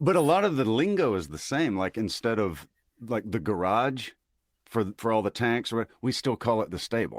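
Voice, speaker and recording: A man's medium-pitched voice, a normal speaking voice, at a moderate pace with lively intonation, in a dry, close sound with no echo and a very clean recording with a silent background. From US South, Mississippi. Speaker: army veteran and social media creator. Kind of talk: casual chat.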